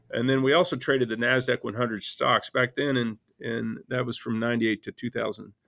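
Speaking with a Texan accent, a man keeps a moderate pace. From Texas panhandle. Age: 50s. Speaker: hedge fund manager. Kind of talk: interview. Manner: halting.

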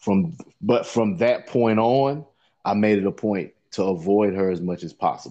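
Lively intonation and a moderate pace mark this speaker with a Carolinas accent. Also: man, fairly low pitch for a man. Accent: Southern US (Carolinas). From US South, Lancaster, South Carolina. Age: 40s. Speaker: podcast co-host. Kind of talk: casual chat. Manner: animated, laughing.

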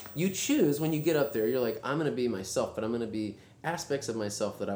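This man talks very fast with an American accent, his pitch swinging very widely. Room echo is audible. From US South, Texas (rural Brazoria County south of Houston). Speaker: singer-songwriter and pianist. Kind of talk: casual chat. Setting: backstage dressing room.

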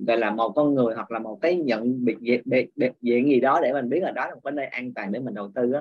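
Using an ordinary speaking voice, a man talks at a medium pitch with ordinary pitch variation. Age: 30s. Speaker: class participant.

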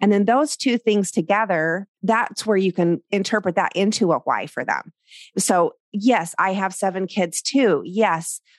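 A woman with an unremarkable speaking voice talks at a fairly slow pace and a medium pitch, with ordinary pitch variation, in a dry, close recording with no echo and a quiet background. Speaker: podcast host and portrait photographer. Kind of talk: interview conversation.

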